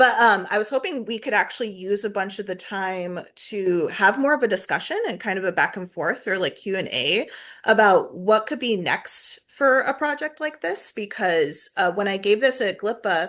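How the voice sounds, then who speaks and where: Against a quiet background, a woman with a normal speaking voice talks at a medium pitch and a moderate pace with lively intonation. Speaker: planetarium staff presenter. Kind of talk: webinar presentation and Q&A. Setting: video call.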